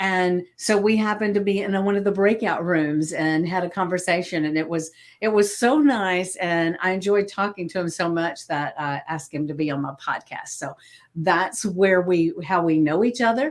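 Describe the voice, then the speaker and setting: A woman with a Southern US accent speaks at medium pitch and a moderate pace with ordinary pitch variation, in a very clean recording with a silent background. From US South. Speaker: podcast host, hypnotist and coach. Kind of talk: interview podcast.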